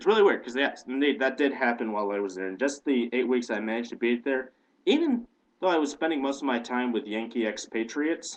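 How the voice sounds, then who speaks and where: With an American accent, a man races along at a very fast pace in a medium pitch with ordinary pitch variation. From Indiana, US Midwest. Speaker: video blogger. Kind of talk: casual vlog monologue. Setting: home webcam, on a couch.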